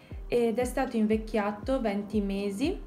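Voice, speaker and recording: Faint music plays behind a woman whose intonation is fairly even. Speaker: wine blogger. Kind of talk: tutorial. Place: home room. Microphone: phone near.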